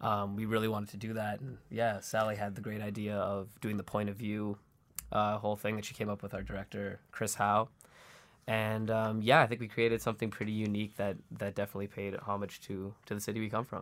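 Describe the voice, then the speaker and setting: Monotone, flat intonation in a Canadian accent, on a very clean recording with a silent background. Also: man, fairly low pitch for a man. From Toronto, Canada. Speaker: indie band member. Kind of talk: interview.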